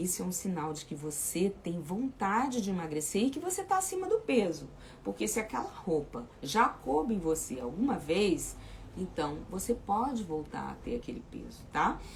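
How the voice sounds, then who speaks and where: A woman speaks at a medium pitch and a moderate pace, her pitch swinging very widely. Noticeable background noise is present. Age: 60s. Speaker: weight loss coach. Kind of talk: live chat with viewers. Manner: informal, repetitive fillers.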